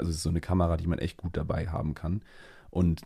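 In a monotone, flat delivery, a man with a very deep, low pitch and a dark, mellow, somewhat breathy tone speaks on a very clean recording with a silent background. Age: 20s. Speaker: trainee event manager and photographer. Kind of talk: casual chat.

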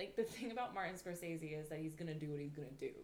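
Audible room echo surrounds the voice. The intonation is lively. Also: woman. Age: 20s. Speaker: podcast co-host. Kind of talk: casual chat. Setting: in person together.

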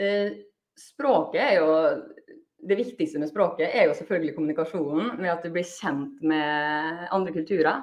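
An unremarkable speaking voice, lively in intonation and moderate in pace. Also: woman, fairly low pitch for a woman. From Norway, Molde. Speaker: high school Spanish and PE teacher. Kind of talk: interview.

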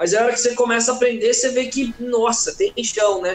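Noticeable background noise runs under the speech. The talking goes at a fairly quick pace. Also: man. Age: 20s. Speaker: guitarist and music teacher. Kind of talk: live interview chat. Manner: casual, slangy.

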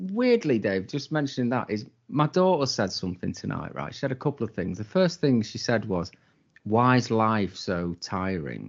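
Speaking at a medium pitch and a moderate pace, a man lets his voice take very wide pitch swings. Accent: British. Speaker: podcast co-host. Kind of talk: casual chat, rant.

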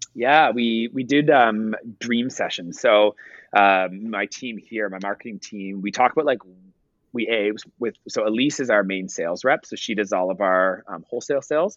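Someone with a Canadian accent and a plain, everyday voice speaks at a moderate pace with ordinary pitch variation. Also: man, medium pitch for a man. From Canada, Ottawa. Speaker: entrepreneur, company founder. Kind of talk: interview. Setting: video call.

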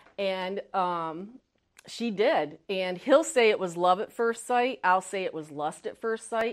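A woman's medium-pitched voice with an American accent, lively intonation and a fairly slow pace, over a quiet background. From upstate New York. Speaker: motivational speaker. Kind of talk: testimony. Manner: halting.

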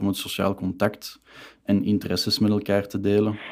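A man with a fairly low voice talks at a moderate speed. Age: 20s. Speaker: student and youth club chairman. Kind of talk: casual interview.

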